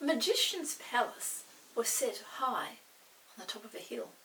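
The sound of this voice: A woman's fairly high, fairly bright voice at a moderate pace, lively in intonation, with audible room echo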